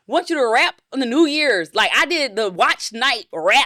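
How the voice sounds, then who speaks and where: A raised, projected voice with a bright, sharp tone and an animated tone, at a moderate pace with lively intonation. The recording is very clean with a silent background and has a dry, close sound with no echo. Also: woman. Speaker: media personality. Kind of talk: interview.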